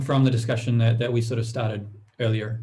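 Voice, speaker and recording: Audible room echo surrounds a man's somewhat breathy voice at medium pitch. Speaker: conference participant. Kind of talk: discussion presentation. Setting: video call.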